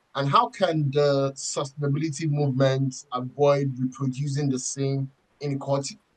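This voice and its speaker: A man with a fairly high pitch speaks at a moderate pace. His voice is somewhat breathy, and his intonation is fairly even. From Nigeria. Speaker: podcast co-host. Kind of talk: podcast interview. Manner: halting.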